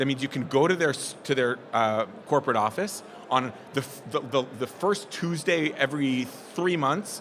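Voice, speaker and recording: Lively intonation over noticeable background noise. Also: man, fairly high pitch for a man. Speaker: business presenter. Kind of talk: presentation to live audience. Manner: fast; animated.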